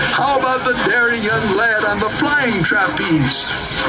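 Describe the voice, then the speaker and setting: Over loud music in the background, a man speaks at a fairly slow pace. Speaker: ride narrator. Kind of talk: rhyming storybook narration.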